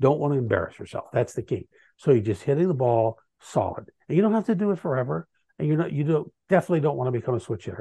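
In a dry, close sound with no echo and a quiet background, a man talks very fast in a dark, mellow, somewhat breathy tone with very wide pitch swings. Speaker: author. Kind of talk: interview.

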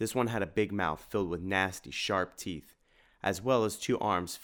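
The speaker reads in a natural voice, and the pitch shifts in an ordinary way.

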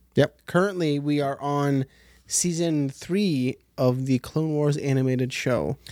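The speaker is a man with an unremarkable speaking voice. He sits fairly high in pitch, with fairly even intonation. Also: fairly slow pace. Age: 30s. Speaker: podcast co-host. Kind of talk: quiz reading; show outro.

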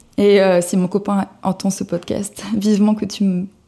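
There is a dark, mellow tone to this voice, along with a slight breathiness. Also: woman. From southern France, Cannes. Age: 20s. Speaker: journalist and vintage blogger. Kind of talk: casual interview.

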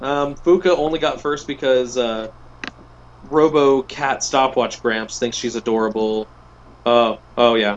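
At a fairly slow pace, a man with an ordinary speaking voice talks in a medium pitch with ordinary pitch variation. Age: 20s. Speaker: podcast co-host. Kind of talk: casual chat.

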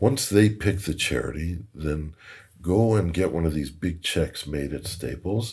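Against a silent background in a very clean recording, a man with a very deep, low pitch and vocal fry uses lively intonation in a dark, mellow tone. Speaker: rabbi and hedge fund president. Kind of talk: casual interview. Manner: upbeat.

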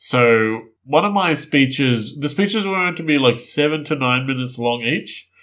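A man with an Australian accent talks at a moderate pace with hardly any pauses. His pitch is fairly high and his intonation lively. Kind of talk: casual chat.

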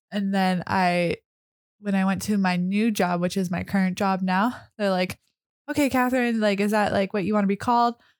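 A woman with a plain, everyday voice speaks at a moderate pace and medium pitch, her loudness very even and her intonation fairly even. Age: 20s. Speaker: garden nursery worker. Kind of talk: casual chat.

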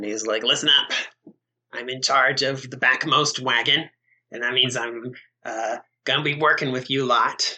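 A man's put-on character voice at medium pitch, with long, frequent pauses. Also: moderate pace. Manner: brusque, commanding.

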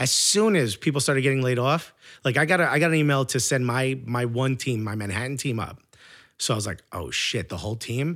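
Recorded very cleanly against a silent background, a man with a New York accent speaks with lively intonation. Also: medium pitch for a man, fairly quick pace. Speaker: stand-up comedian. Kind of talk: casual chat. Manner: loud; animated.

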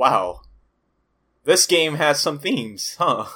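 A man speaks with an American accent. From California. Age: 20s. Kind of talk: casual chat.

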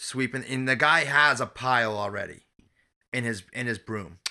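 Over a silent background in a very clean recording, a man speaks with fairly even intonation and a bright, sharp tone. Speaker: podcast host. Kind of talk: casual banter. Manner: blunt, casual, swears.

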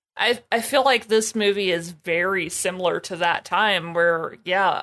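Speaking fairly slowly in a normal speaking voice, a woman with an American accent keeps a medium pitch and ordinary pitch variation. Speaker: podcast co-host. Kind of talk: casual chat.

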